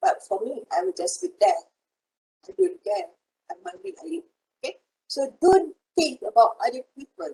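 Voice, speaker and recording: In a dry, close recording with no echo, a woman with a Malaysian accent speaks at an extremely high pitch and a moderate pace, her pitch swinging very widely, her loudness rising and falling sharply, and her speech broken by long, frequent pauses. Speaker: university lecturer. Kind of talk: online lecture. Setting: video call.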